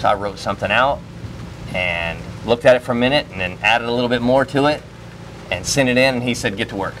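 A man talks at a very fast pace with long, frequent pauses. His pitch varies in an ordinary way over light background noise. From Florida. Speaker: security guard and firearms trainer; interviewee. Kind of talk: interview. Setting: trade show. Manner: casual, filler-heavy. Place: open country.

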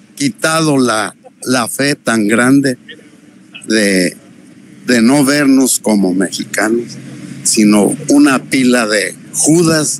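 A man speaks at a very slow pace with lively intonation. The sound is dry with no echo, and there is light background noise. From Mexico. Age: 80s+. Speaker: interviewee, 81-year-old man. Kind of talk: interview answer. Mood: aggrieved, disappointed. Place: street. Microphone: handheld.

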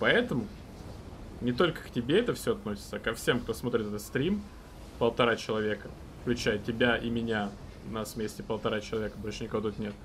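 The speaker talks at a fairly quick pace, with vocal fry. Long pauses come often, and there is light background noise. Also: man, ordinary pitch variation. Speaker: game streamer. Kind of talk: live gameplay stream commentary with chat. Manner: casual, filler-heavy with repetitions. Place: home room.

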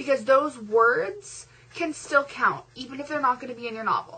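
A woman speaks in a high pitch at a fairly slow pace. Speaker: vlogger. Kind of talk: pep talk to fellow novel writers, chatty and encouraging, direct address to camera. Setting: video blog. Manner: animated, conversational, reassuring, with fillers and self-deprecating asides. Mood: encouraging, upbeat pep talk. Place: home room. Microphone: webcam.

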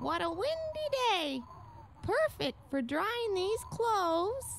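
A man puts on a strained character voice at an extremely high pitch, talking at a fairly slow pace over clear background noise. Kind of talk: scripted children's game narration. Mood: bright, upbeat.

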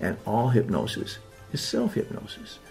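Music plays in the background behind a man's voice. His pitch sits in the medium range but swings very widely. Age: old. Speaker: hypnotist. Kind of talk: promotional talk to camera.

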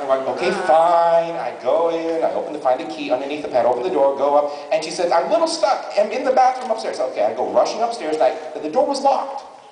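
Light background noise and audible room echo accompany a man talking at a very fast pace. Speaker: actor telling story on stage. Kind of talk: comedic storytelling to audience. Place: stage.

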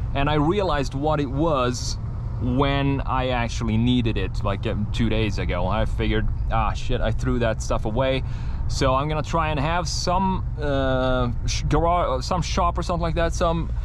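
The man talks at a moderate pace with very even loudness. The sound is dry with no echo, but background noise is noticeable. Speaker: truck owner vlogger. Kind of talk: casual vlog chat. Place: car. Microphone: camera far.

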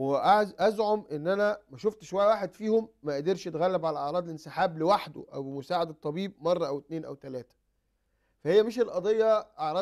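A man with a high pitch speaks over a quiet background. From Egypt. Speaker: psychiatrist and addiction expert. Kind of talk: TV talk show interview. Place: studio. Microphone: lapel.

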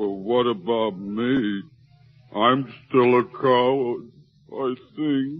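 A man uses a put-on character voice at medium pitch. He goes at a very slow pace with long, frequent pauses. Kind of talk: 1940s radio acting. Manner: bashful, comic.

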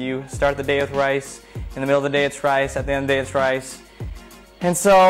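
A man's voice over faint music in the background. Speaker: show host. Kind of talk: casual live-stream chat. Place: home room. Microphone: phone near.

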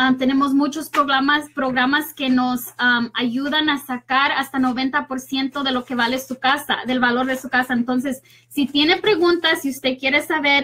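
The tone is bright and sharp, with fairly even intonation. Delivery comes at a moderate pace. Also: woman, high pitch for a woman.

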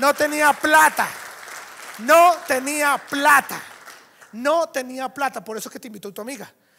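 Over crowd noise, a man with an extremely high pitch uses a raised, projected voice in an animated tone, with big swings in loudness and long, frequent pauses. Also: ordinary pitch variation, fairly slow pace. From Venezuela. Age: 30s. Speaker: network marketing speaker; conference speaker. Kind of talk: motivational talk. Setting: stage with audience. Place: hall.

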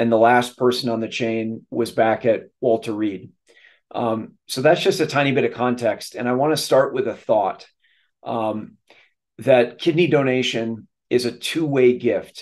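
Speaking with an American accent, a man goes at a fairly slow pace with ordinary pitch variation. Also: quiet background. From Minnesota. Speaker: kidney donor and nonprofit leader, retired army officer; speaker. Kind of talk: presentation. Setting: video call. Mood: warm, lightly humorous. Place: home room. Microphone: webcam.

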